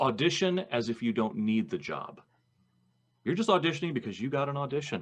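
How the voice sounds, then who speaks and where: A man's fairly high voice with vocal fry, very wide pitch swings, and a fairly quick pace. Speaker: voice actor. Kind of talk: podcast interview conversation.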